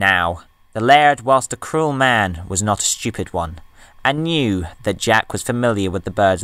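The speaker reads in a natural voice. The intonation is lively.

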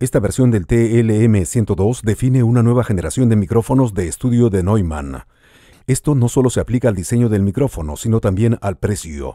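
Speaking with a Latin American accent, a man talks at a fairly quick pace in a dark, mellow tone, the sound dry with no echo against a quiet background. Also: lively intonation. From Peru. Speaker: radio host. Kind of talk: product unboxing voice-over. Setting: studio. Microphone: studio mic.

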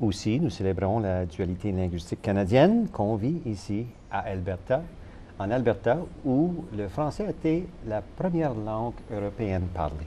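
The pace is fairly slow. Pitch swings are very wide. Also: man, fairly low pitch for a man. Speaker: TV host. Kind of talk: TV interview. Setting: studio.

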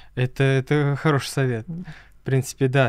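A man talks with fairly even intonation. The sound is dry with no echo, over a quiet background. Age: 20s. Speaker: podcast host and music student; podcast guest. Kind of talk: interview; interview answer. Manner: halting, many filler sounds. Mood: calm, friendly. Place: studio. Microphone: studio mic.

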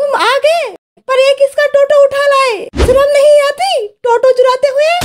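A cartoonish character voice, female-sounding and extremely high in pitch, moves along at a moderate pace. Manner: scolding.

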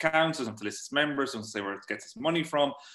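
A man speaks with an Irish accent. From Ireland. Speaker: journalist and author. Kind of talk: talk and Q&A at online meeting. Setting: video call.

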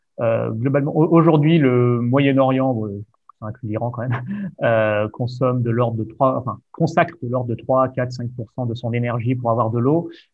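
Against a quiet background, the speech moves at a moderate pace with fairly even intonation and a dry sound with no echo. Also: man. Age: 30s. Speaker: podcast host. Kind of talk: interview conversation. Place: home room. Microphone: video call.

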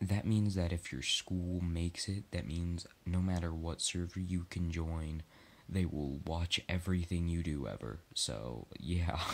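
His voice is very deep and low, with ordinary pitch variation. The man talks at a fairly slow pace. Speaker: gameplay commentator. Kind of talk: casual vlog chat, partly reading.

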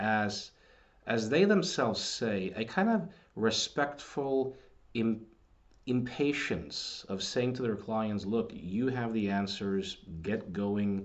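A man at a very slow pace, with ordinary pitch variation. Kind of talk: casual commentary on books. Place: home room. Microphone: webcam.

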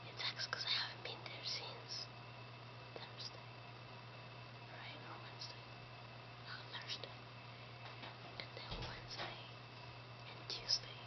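A woman speaks at a very slow pace with long, frequent pauses. Noticeable background noise runs underneath. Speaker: vlogger. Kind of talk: casual whispered vlog talk. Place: home room. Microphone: webcam.

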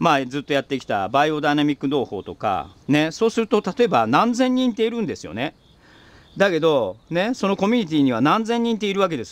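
At a fairly quick pace, a man speaks with very wide pitch swings in a dry sound with no echo. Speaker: organic farmer, video host; video host. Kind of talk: casual monologue while working on the farm. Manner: chatty, rambling at length. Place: farm machine. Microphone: phone near.

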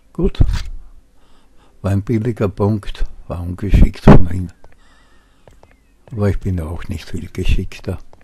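Against noticeable background noise, the voice moves at a very slow pace with long, frequent pauses and ordinary pitch variation. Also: man. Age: 70s. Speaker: gamer. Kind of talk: gameplay commentary.

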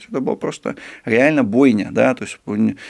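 A man talks fairly quickly with a quiet background behind him. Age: 30s. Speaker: sinologist, China expert; guest. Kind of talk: interview. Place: studio. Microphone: studio mic.

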